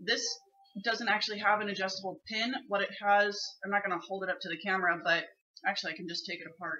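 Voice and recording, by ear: This hoarse, put-on character voice races along at a very fast pace. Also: woman, medium pitch for a woman.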